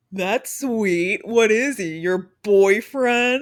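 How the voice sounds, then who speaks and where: A female-sounding voice is put on as a character at a fairly high pitch. The pace is very slow. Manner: mocking.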